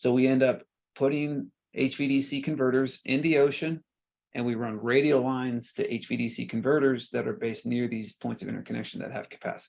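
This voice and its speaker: A man at a medium pitch, fairly quick in pace, with ordinary pitch variation. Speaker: energy researcher. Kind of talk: technical presentation. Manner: fast.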